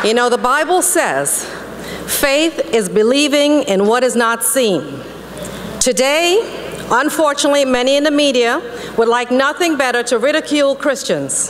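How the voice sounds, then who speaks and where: A woman speaks in a high voice with ordinary pitch variation over light background noise. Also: moderate pace. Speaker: politician, Florida lieutenant governor. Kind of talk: fiery religious speech to an audience. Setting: conference hall speech to a live audience. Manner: passionate, preaching. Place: hall. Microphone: podium.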